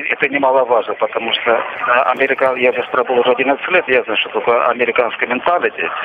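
Talking at a fairly quick pace, a man is heard against noticeable background noise. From Russia. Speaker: imprisoned pilot. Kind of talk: interview. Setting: phone call.

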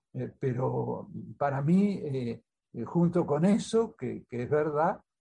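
Speaking at a very slow pace, a man uses a dark, mellow tone with lively intonation. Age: 80s+. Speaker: author. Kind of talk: interview.

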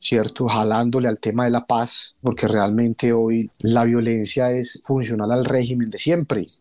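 A man's medium-pitched voice with a dark, mellow tone, on a very clean recording with a silent background. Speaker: former guerrilla, director of a sewing cooperative. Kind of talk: radio interview. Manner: halting, repeats words.

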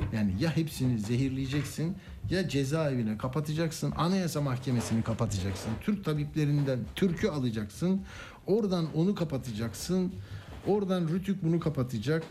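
Over audible room echo, a man talks at a moderate pace in a dark, mellow, somewhat breathy voice that is fairly high, with lively intonation and very even loudness. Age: 60s. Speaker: radio news host. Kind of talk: radio talk show.

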